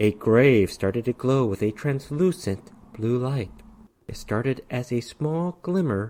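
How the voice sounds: In a natural reading voice, the speaker uses lively intonation.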